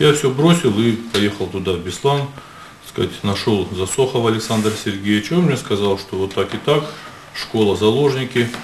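A man at a moderate pace, with light background noise and audible room echo. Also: ordinary pitch variation. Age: 60s. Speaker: medical official testifying as witness; witness. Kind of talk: court testimony. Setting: courtroom. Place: hall. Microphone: podium.

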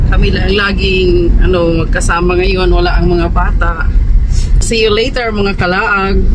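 A woman talks at a fairly slow pace while noticeable noise sits in the background. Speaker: travel vlogger. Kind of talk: casual vlog chat. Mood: cheerful, chatty. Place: car.

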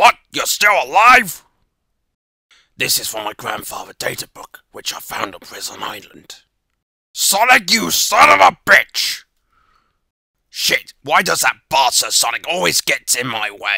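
Doing a put-on character voice, a man speaks in a high pitch at a fairly slow pace, with long, frequent pauses and big swings in loudness. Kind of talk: voice audition. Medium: voice reel. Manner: gloating, theatrical.

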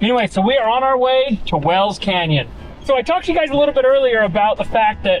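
With music in the background, a man talks at a very fast pace with lively intonation. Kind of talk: casual vlog chat. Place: car. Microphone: phone near.

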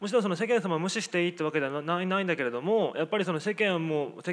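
A man talks at a very fast pace. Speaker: sociologist. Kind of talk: panel discussion. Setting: stage with audience. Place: hall. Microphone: handheld.

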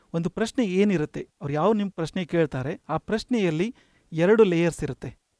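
This man's voice is high-pitched, with a dark, mellow tone and ordinary pitch variation, recorded dry with no echo against a quiet background. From North Karnataka, Belgaum district; Karnataka, India. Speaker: HR manager and career coach; career coach. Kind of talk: lecture. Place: studio.

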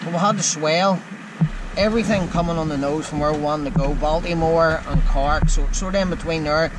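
A man at a fairly quick pace, dry sound with no echo, and loud background noise. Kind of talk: casual vlog chat. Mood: frustrated, disappointed. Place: boat. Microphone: phone near.

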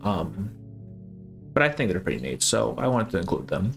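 A man speaks with vocal fry. Light background noise can be heard. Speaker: video game analysis creator. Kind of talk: video essay narration. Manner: casual with fillers. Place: home room.

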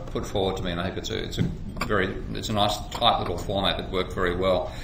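Over noticeable background noise, a man speaks in a monotone, flat intonation at a fairly low pitch. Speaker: economics lecturer. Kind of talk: lecture. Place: office. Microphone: webcam.

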